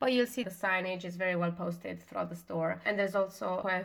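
In a non-native accent, a woman with a fairly low pitch talks at a fairly quick pace with fairly even intonation. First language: not English. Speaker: podcast co-host. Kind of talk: casual chat.

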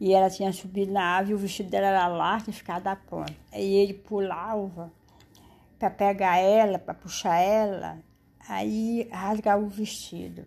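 On a very clean recording with a silent background, a woman with a medium pitch speaks at a moderate pace in a monotone, flat intonation. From Ceará, Brazil. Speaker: storyteller mother. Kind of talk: oral storytelling. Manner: halting.

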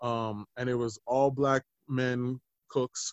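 In an American accent, a man with a medium pitch and a normal speaking voice talks with fairly even intonation. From Denver, Colorado. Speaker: chef and musician. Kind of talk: casual interview chat.

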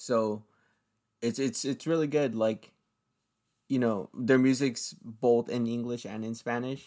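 Speaking at a fairly slow pace with long, frequent pauses, a man uses a dark, mellow tone at a medium pitch and fairly even intonation, in a very clean recording with a silent background. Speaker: podcast host. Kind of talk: casual chat. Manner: casual, slangy.

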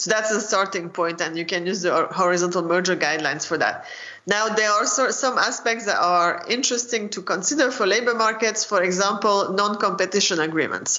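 Speech comes at a fairly quick pace with hardly any pauses over noticeable background noise. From France. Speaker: economics professor. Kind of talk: interview.

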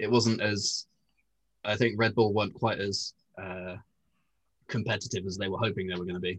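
Speech broken by long, frequent pauses. The voice is somewhat breathy, with a monotone, flat intonation. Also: man, fairly low pitch for a man, moderate pace. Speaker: podcast co-host. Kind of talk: casual chat.

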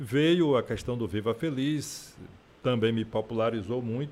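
The intonation in this man's voice is lively. He keeps a moderate pace. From Feira de Santana, Bahia, Brazil. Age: 60s. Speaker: politician and radio presenter. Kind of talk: interview. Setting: studio.

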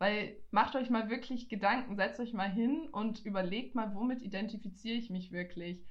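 A somewhat breathy voice moves at a moderate pace through audible room echo. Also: woman, fairly high pitch for a woman, ordinary pitch variation. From Franconia, Germany (Nuremberg). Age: 20s. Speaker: student podcaster. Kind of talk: casual chat.

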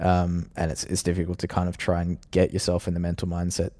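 This man has a very deep, low pitch and a dark, mellow tone. He talks at a fairly quick pace in an Australian accent. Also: very clean recording, silent background. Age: 20s. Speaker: professional sim racer. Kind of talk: interview. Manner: hesitant, many fillers.

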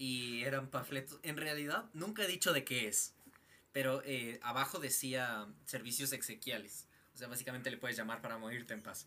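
Speaking at a moderate speed, a man keeps a medium pitch that varies in an ordinary way. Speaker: podcast co-host. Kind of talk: casual chat. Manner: expressive, tense voice.

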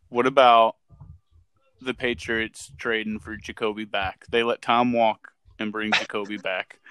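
Recorded with a dry, close sound with no echo, a man speaks fairly slowly at a medium pitch in a bright, sharp tone with monotone, flat intonation. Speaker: guest co-host, fantasy sports. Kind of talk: casual sports podcast chat.

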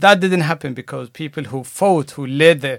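Recorded very cleanly against a silent background, a man talks at a very fast pace. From Eritrea. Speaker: member of parliament, candidate. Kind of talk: interview answers. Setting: studio.

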